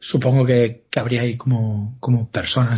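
The man's voice sounds somewhat breathy. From Galicia, Spain. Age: 40s. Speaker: author and comic writer. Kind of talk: interview, casual chat.

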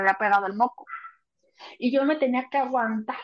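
The woman's voice is high in pitch. Her pitch varies in an ordinary way. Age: 30s. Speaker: writer. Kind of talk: casual chat.

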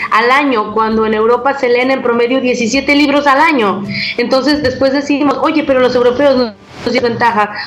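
The intonation stays fairly even. Audible room echo and noticeable background noise surround the voice. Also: woman. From Mexico. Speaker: sex educator. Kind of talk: interview.

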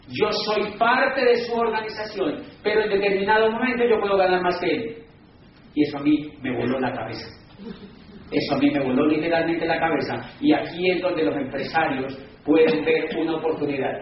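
Amid noticeable background noise and audible room echo, a man with a high voice and an animated tone speaks at a moderate pace with lively intonation. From Colombia. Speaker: business speaker. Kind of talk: lecture.

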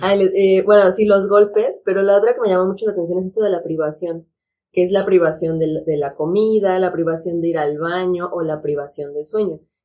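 A woman with an ordinary speaking voice, at a medium pitch and fairly quick pace, with fairly even intonation. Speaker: psychiatrist. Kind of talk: casual chat.

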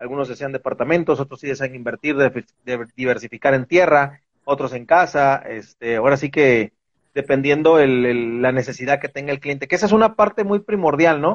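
Speaking at a fairly quick pace, a man with an ordinary speaking voice uses a fairly high pitch and ordinary pitch variation. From Mexico, Veracruz. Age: 40s. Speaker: real estate investment manager. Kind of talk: interview on a live stream.

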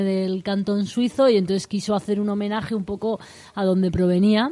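A woman talks at a fairly quick pace in a medium pitch. Her tone is dark and mellow, with fairly even intonation. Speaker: vermouth brand ambassador. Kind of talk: casual chat. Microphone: too far from the mic.

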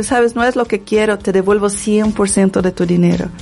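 A woman talks at a moderate pace, with a fairly high pitch and ordinary pitch variation. Noticeable background noise is present. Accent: Portuguese. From Brazil, favela. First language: Portuguese (speaking Spanish). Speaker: dancer and women's wellness coach. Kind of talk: interview.

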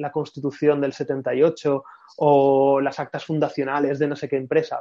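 At a fairly slow pace, a man speaks in a fairly high pitch with a dark, mellow tone and a monotone, flat intonation. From Spain, Madrid. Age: 30s. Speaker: brand consultant and writer. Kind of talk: casual interview. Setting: video call.

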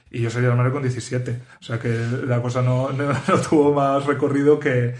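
A man talks at a moderate pace with a medium pitch. His voice is somewhat breathy, and his intonation is fairly even. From Spain. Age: 30s. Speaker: podcast host. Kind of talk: casual interview chat.

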